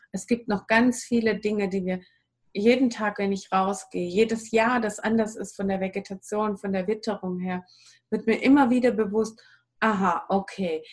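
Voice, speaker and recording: A fairly high, somewhat breathy female voice with fairly even intonation and a moderate pace. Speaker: wild plant and raw food advisor. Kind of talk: interview. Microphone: poor audio quality.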